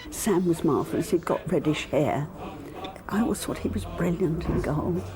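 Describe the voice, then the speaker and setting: Noticeable background noise fills the recording. The woman talks at a moderate pace. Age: 80s+. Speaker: football fan. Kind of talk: interview.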